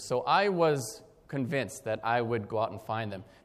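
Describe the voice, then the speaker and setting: A man's lively intonation amid audible room echo. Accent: Upper Midwest. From Minnesota, Leech Lake. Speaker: historian and professor. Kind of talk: keynote lecture.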